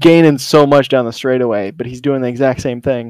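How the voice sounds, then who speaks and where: An unremarkable speaking voice is heard. The intonation stays fairly even. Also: man. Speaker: surprise guest, racer.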